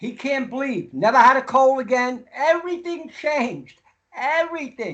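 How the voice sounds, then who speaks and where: With ordinary pitch variation, a man speaks at an extremely high pitch. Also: moderate pace. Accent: American. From US Northeast. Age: 80s+. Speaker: raw vegan nutrition expert. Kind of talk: podcast interview. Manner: animated.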